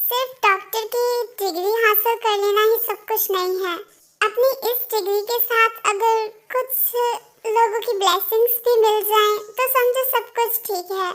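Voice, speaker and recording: A woman performs a put-on character voice at an extremely high pitch. Her intonation stays fairly even at a moderate pace. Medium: fan dub. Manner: sincere, thoughtful.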